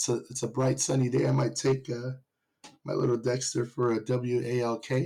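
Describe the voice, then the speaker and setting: The voice is somewhat breathy with a dark, mellow tone, fairly even intonation and a moderate pace. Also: man. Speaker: podcast co-host. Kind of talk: casual chat.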